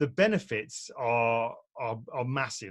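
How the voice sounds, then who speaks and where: Lively intonation runs through this man's somewhat breathy speech. He has a British accent. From UK. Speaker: portrait photographer and photography teacher. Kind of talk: online presentation talk. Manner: relaxed, conversational with fillers.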